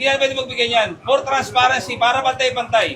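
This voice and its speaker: A man's raised, projected voice at an extremely high pitch and very fast pace, over noticeable background noise. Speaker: police commander. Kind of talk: confrontation during police operation. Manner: loud; firm.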